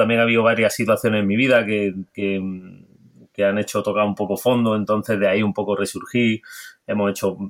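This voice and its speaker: A man's unremarkable speaking voice at a fairly quick pace. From Granada coast, Spain. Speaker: hospitality consultant and cook. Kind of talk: interview.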